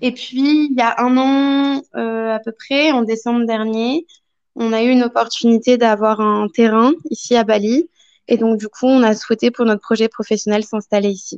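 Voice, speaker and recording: An ordinary speaking voice moves at a moderate pace with fairly even intonation. The sound is dry and close, with no echo and a quiet background. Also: woman, fairly high pitch for a woman. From France. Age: 20s. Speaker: young expatriate. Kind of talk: interview testimony.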